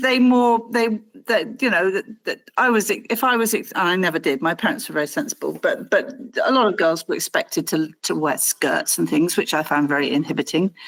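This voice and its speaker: Vocal fry runs through a woman's fairly high voice at a fairly quick pace. Her pitch swings very widely while her loudness stays very even. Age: 60s. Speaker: interviewee sharing life story. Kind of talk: interview. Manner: halting.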